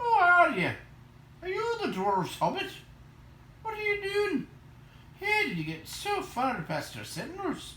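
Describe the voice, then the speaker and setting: A man puts on a character voice at an extremely high pitch, moving at a moderate pace with long, frequent pauses. Clear background noise can be heard. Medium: read story. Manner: suspicious.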